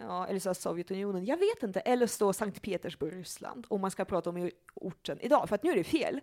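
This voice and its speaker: In a plain, everyday voice, a woman talks at a fairly quick pace with hardly any pauses. Her medium-pitched delivery has lively intonation and a dry, close sound with no echo. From Russia (Leningrad), moved to Sweden young. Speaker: psychologist and sexologist. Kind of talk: casual chat. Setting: at her home.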